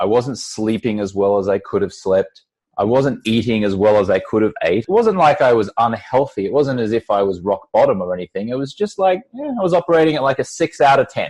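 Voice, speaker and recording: A man speaks with hardly any pauses. The sound is dry and close with no echo, and the background is quiet. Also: fairly quick pace. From Australia. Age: 40s. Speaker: entrepreneur and former TV sports anchor. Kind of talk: podcast interview.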